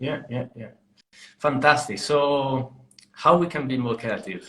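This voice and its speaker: Speaking with an Italian accent at a fairly slow pace, a man uses a medium pitch with big swings in loudness. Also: ordinary pitch variation. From Italy. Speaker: podcast host. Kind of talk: casual chat. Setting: live online stream.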